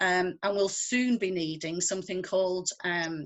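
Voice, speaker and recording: The speaker has a northwest English accent, a moderate pace and fairly even intonation. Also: woman. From northwest England. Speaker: conservationist. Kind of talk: interview.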